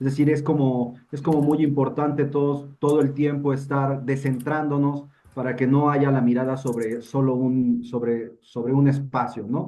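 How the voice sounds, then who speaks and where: A man's fairly high yet dark, mellow voice with a Mexico City accent, flat monotone intonation and a fairly slow pace. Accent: Mexican Spanish (Mexico City). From Mexico City, Mexico. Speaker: participant in a literary discussion. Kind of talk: panel discussion. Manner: halting, many fillers and repetitions.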